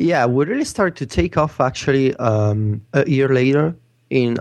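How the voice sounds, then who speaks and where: A man speaks with an Italian accent at a fairly slow pace. The background is quiet. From Italy. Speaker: tech blog editor. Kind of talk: casual chat. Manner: hesitant, with many fillers and repetitions.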